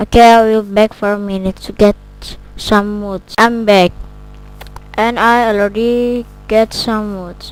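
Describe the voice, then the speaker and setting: Very slowly and in a flat monotone, a woman with a non-native accent speaks at medium pitch amid noticeable background noise. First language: not English. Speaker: gaming video creator. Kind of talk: casual gameplay commentary.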